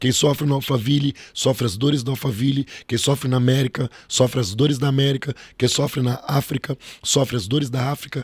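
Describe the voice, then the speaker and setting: A man's medium-pitched, somewhat breathy voice at a fairly quick pace, with fairly even intonation and a dry, close sound free of echo. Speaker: pastor. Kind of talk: preaching-style interview talk. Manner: emphatic, rhetorical.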